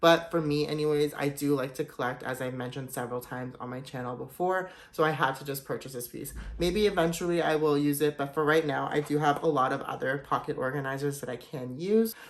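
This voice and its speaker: With noticeable background noise behind him, a man with a fairly high pitch speaks very fast and enthusiastically, hardly pausing, with ordinary pitch variation. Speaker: luxury goods YouTuber. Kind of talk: product showcase vlog. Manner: casual, enthusiastic.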